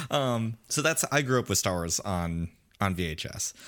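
A man's unremarkable speaking voice, fairly low in pitch, with lively intonation at a moderate pace on a very clean recording with a silent background. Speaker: podcast host guest. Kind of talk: casual interview chat.

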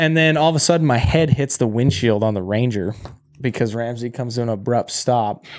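A man with an American accent, medium-pitched, with ordinary pitch variation and a fairly quick pace. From Great Falls, Montana. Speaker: podcast co-host. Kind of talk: casual chat. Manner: halting, with many restarts.

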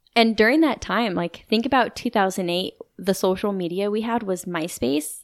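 A woman with an ordinary speaking voice speaks at a moderate pace and medium pitch with lively intonation, on a very clean recording with a silent background. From US West, Idaho (moved around). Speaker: military widow. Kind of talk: interview, personal testimony. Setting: in-person recording.

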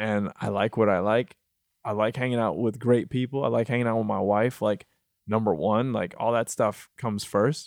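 With an ordinary speaking voice and medium pitch, a man talks at a moderate pace with fairly even intonation, the sound dry and close with no echo in a very clean recording with a silent background. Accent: American. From Michigan, US. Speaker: musician and multi-disciplinary artist. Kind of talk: casual interview. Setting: studio.

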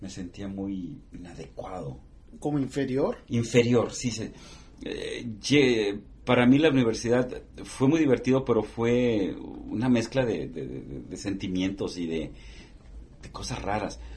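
At a very slow pace, a man speaks at a medium pitch with lively intonation, a somewhat breathy quality and big swings in loudness. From northern Mexico border (Matamoros, Tamaulipas). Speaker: TV journalist. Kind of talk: interview.

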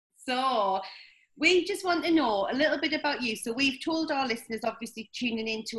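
Bright, sharp, fairly quick speech in a Scottish accent, with lively intonation. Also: woman. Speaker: podcast host. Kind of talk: interview.

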